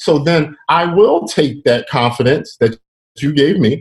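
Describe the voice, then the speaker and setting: A somewhat breathy man with an American accent talks at a fairly slow pace. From Philadelphia, US. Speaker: professional drummer. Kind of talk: casual interview chat.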